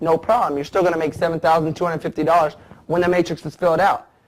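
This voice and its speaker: This man speaks at a very fast pace in a high pitch. His tone is animated. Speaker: network marketer. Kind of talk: sales pitch.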